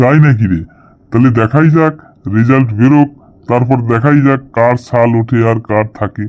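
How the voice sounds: In a cartoonish character voice, a man talks at a moderate pace with very even loudness. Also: medium pitch for a man.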